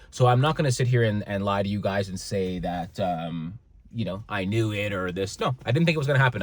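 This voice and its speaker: Music plays behind a man with a Canadian accent and a fairly low pitch. His tone is animated, with ordinary pitch variation. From Canada. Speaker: motivational vlogger. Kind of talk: casual vlog monologue. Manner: animated, stumbling over words.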